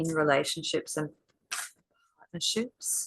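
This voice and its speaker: A woman talks very slowly. She has an Australian accent. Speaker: intuitive card reader. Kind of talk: tarot card reading. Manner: conversational, hesitant with fillers.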